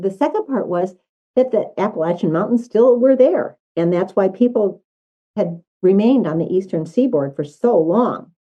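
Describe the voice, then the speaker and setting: At a moderate pace, a woman with a medium pitch and a dark, mellow tone speaks with lively intonation. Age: 80s+. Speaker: historical society board member. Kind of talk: interview.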